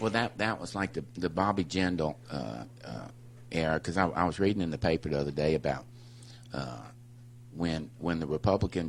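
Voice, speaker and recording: Vocal fry in a man's very deep, low voice, at a moderate pace. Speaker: union representative. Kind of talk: casual chat. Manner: halting.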